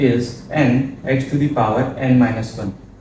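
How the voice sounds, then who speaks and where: A man with a medium-pitched voice speaks amid noticeable background noise, his words carrying audible room echo. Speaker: maths tutor. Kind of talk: tutorial.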